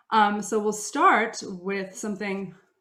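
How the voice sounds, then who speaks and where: Speaking in an American accent, a woman uses a medium pitch. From Russia. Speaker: opera singer. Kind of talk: concert introduction. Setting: video recording. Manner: animated.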